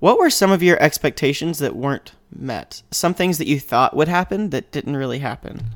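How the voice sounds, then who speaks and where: Vocal fry runs through this moderate-paced speech with hardly any pauses, on a very clean recording with a silent background. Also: man, fairly high pitch for a man, ordinary pitch variation. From Mississippi. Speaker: seminary student. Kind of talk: casual chat.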